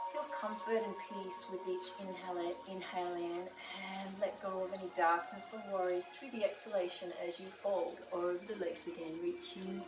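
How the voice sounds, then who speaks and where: A woman with an Australian accent speaks at a moderate pace in a medium pitch, her intonation fairly even, with music playing in the background. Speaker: yoga teacher. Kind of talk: guided yoga class instruction. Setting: outdoors on veranda with birds and water features.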